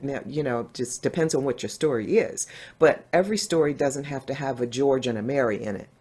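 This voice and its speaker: A dark, mellow tone with an American accent and lively intonation, in a very clean recording with a silent background. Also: woman. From US Northeast, New Jersey. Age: 60s. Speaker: diversity and inclusion speaker. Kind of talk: interview.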